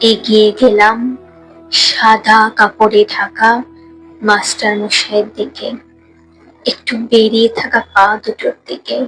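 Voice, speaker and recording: Music plays in the background. Over it, a woman talks in a fairly high pitch. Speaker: poetry reciter. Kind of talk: poetry reading.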